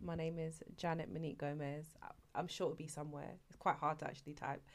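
A woman with a London accent. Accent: London English, multicultural London. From East London, Canning Town. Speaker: YouTuber. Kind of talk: casual chat.

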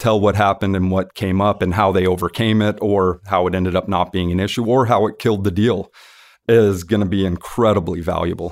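A man's plain, everyday voice on a very clean recording with a silent background. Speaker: dental attorney, co-host. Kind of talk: casual chat.

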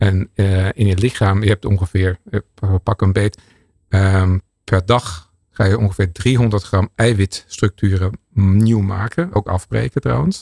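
A man with a fairly low pitch and a dark, mellow tone speaks at a very slow pace, somewhat breathy, with ordinary pitch variation. His loudness is very even, and the sound is dry and close with no echo. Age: 50s. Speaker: research scientist. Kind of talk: expert interview. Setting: studio.

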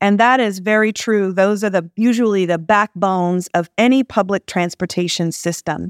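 Heard on a very clean recording with a silent background and a dry, close sound with no echo, a woman with an American accent and an unremarkable speaking voice talks at a medium pitch, with fairly even intonation, very even loudness and hardly any pauses. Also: moderate pace. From US South, Jackson, Mississippi. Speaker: public transit executive. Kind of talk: interview.

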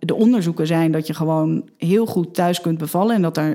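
At a moderate pace, the voice has a dark, mellow tone and ordinary pitch variation, captured in a very clean recording with a silent background. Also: woman. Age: 30s. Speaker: mother telling her birth story. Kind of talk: personal testimony interview. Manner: halting, many fillers.

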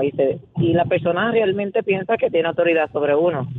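The speaker has a Puerto Rican accent. The delivery moves at a fairly quick pace. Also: woman. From Puerto Rico, Canóvanas. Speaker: radio caller. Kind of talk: casual phone-in chat.

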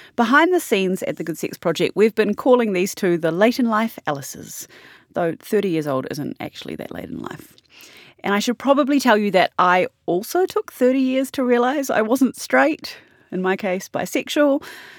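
A woman's fairly high voice with a New Zealand accent, very wide pitch swings, and a dry, close sound with no echo. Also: moderate pace. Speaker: podcast host. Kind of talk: scripted narration.

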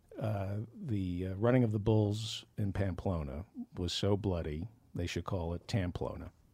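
Over a silent background on a very clean recording, a man talks at a moderate pace in a fairly low, dark and mellow voice that is somewhat breathy, with ordinary pitch variation. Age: 70s. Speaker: comedy writer and podcast host. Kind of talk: casual chat. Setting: studio.

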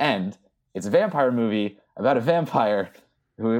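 A man talks at a moderate pace at medium pitch with lively intonation. It is a plain, everyday voice. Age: 30s. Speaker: horror film writer and podcaster. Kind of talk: casual chat.

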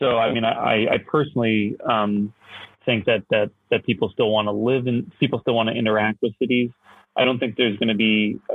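A man speaks at a fairly quick pace, his loudness very even throughout. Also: medium pitch for a man. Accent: Canadian. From Canada. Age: 30s. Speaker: real estate startup CEO. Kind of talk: interview. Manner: halting, many fillers.

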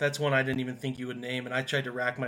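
This is a man speaking at a medium pitch. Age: 30s. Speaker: sports podcast host. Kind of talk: casual chat.

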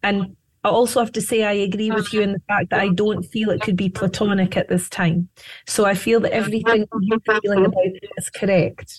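A woman with a Scottish accent speaks at medium pitch in a somewhat breathy, monotone, flat voice, with a dry, close sound and no echo. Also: fairly quick pace. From Scotland. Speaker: psychic medium. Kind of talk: interview with on-air readings.

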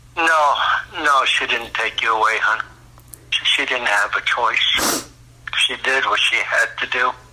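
A man talks at a fairly slow pace, leaving long, frequent pauses. His loudness stays very even over noticeable background noise. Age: 60s. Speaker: biological father on a phone call. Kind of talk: emotional phone conversation.

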